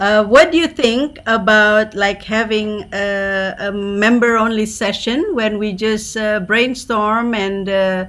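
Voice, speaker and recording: Hardly pausing, a woman talks at a very slow pace. Her fairly high voice shows ordinary pitch variation. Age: 60s. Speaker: club meeting host. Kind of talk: casual chat.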